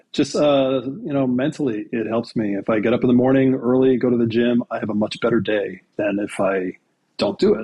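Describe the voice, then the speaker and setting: In a plain, everyday voice, a man speaks at a medium pitch and a fairly quick pace. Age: 60s. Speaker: TV creator and actor, podcast guest. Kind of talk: casual chat.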